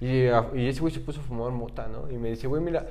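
A medium-pitched man talks at a fairly quick pace. The recording has audible room echo and noticeable background noise. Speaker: freestyle rap league organizer. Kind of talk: casual chat.

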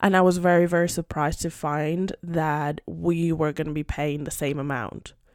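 On a very clean recording with a silent background, a woman speaks at a fairly slow pace. Her pitch is fairly low, with ordinary pitch variation. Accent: Spanish. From Spain, Madrid. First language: Spanish. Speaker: podcast host. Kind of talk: casual chat.

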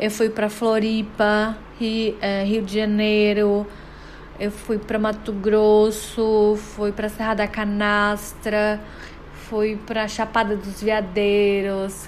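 A woman's fairly high voice, very slow and monotone with flat intonation, with audible room echo. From Brazil, Guarujá (São Paulo coast). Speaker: podcast host, psychologist. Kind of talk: personal storytelling monologue.

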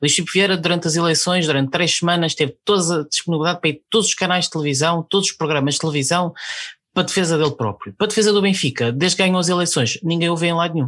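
Over a quiet background, a man speaks at a fairly high pitch. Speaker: podcast co-host. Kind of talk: casual chat.

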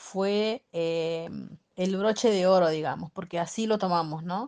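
Fairly even intonation shapes a woman's speech at a medium pitch. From Argentina, Santiago del Estero. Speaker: railway cleaner and volleyball team captain. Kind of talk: radio interview. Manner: halting, many fillers.

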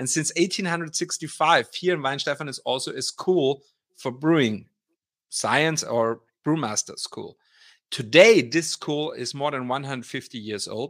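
A man with a fairly high pitch speaks with big swings in loudness. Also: ordinary pitch variation, fairly slow pace. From Austria. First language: German. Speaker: brewery brand ambassador. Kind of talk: interview conversation. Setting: video call. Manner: halting, fillers.

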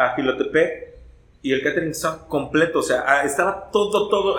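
Audible room echo surrounds a man's voice. His pitch is fairly high, with ordinary variation. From Veracruz, Mexico. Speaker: ska singer and radio announcer. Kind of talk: casual chat.

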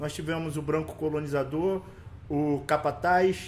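Using a normal speaking voice, a man talks fairly slowly at a fairly high pitch. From Rio de Janeiro West Zone favela, Brazil. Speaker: social project leader and coach. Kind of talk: casual interview.

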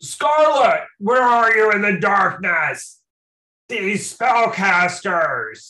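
A put-on character voice shouts at a fairly high pitch. The pace is very slow. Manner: shouting.

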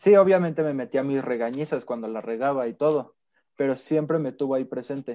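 Speaking at a fairly quick pace, a man has a dark, mellow tone and a fairly high pitch. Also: ordinary pitch variation. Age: 20s. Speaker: American football player. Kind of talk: interview.

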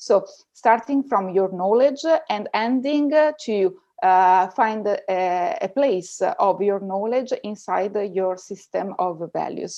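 A woman at a medium pitch with an Italian accent, lively intonation and a very slow pace, against a quiet background. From Italy. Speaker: researcher and data ethics teacher. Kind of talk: interview. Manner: halting.

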